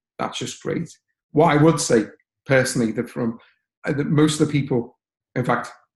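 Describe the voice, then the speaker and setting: A man with a Liverpool accent speaks in a fairly high, somewhat breathy voice with ordinary pitch variation. He leaves long, frequent pauses. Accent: Liverpool (Scouse) English. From northern England, Liverpool. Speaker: software training lesson developer, HPC researcher. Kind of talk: webinar presentation. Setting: online webinar. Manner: fast.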